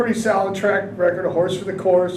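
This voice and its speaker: Over noticeable background noise and with audible room echo, a man speaks loudly at a high pitch. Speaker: horse racing handicapper. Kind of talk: podcast discussion, race picks. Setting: livestream from track building.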